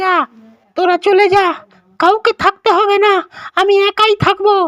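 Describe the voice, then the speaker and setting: A woman's cartoonish character voice, extremely high-pitched, flat and monotone, at a moderate pace with very even loudness. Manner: loud, complaining exclamations.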